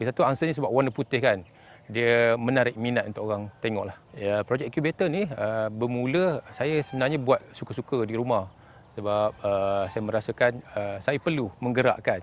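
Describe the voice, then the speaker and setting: The talking keeps a moderate pace, and its pitch varies in an ordinary way. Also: man, medium pitch for a man. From Kampar, Perak, Malaysia. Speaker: electrical engineer. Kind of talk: interview. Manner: hesitant, many fillers.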